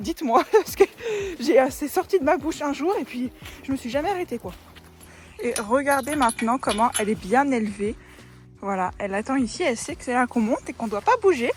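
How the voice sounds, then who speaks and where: Over music in the background, the speaker moves at a fairly quick pace with very wide pitch swings and long, frequent pauses. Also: woman, high pitch for a woman. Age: 20s. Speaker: equestrian. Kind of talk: casual vlog talk to camera.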